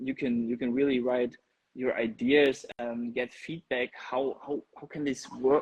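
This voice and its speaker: A man with a non-native accent is speaking. The sound is dry and close, with no echo. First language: not English. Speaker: content creator and drone operator. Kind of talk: podcast interview. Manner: halting, with repetitions.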